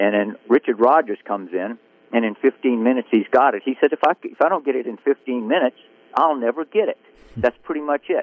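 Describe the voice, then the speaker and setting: A man with a Southern US accent and medium pitch speaks at a fairly quick pace with lively intonation. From Biloxi, Mississippi. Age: 80s+. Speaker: country songwriter. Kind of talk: casual interview.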